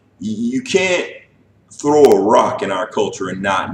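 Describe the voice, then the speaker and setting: A man is speaking. His pace is moderate. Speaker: anime and manga video host. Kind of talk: casual monologue review. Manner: many filler words and repetitions.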